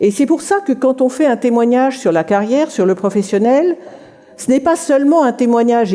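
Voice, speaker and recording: A woman's high-pitched voice with very wide pitch swings, over noticeable background noise. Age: 60s. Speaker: writer giving a career talk. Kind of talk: conference talk.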